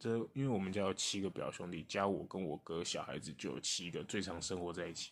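A man's very deep, low voice with ordinary pitch variation, a fairly quick pace and hardly any pauses. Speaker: podcast co-host. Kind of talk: casual chat.

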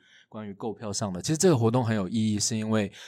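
Here a man talks at a fairly low pitch. The recording is very clean, and the background is silent. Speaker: playwright and university lecturer. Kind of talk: casual chat.

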